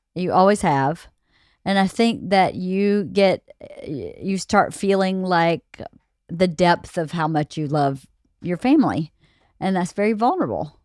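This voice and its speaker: A woman with a plain, everyday voice talks at a fairly slow pace with ordinary pitch variation, her sound dry and close with no echo on a very clean recording with a silent background. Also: medium pitch for a woman. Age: 40s. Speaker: host's wife. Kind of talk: casual chat.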